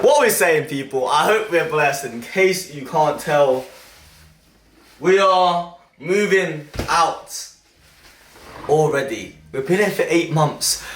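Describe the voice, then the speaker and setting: Amid noticeable background noise and audible room echo, a man with a fairly high pitch speaks at a very slow pace with long, frequent pauses. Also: ordinary pitch variation. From England, Leicester. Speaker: YouTuber. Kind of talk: casual vlog talk. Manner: enthusiastic, animated; loud.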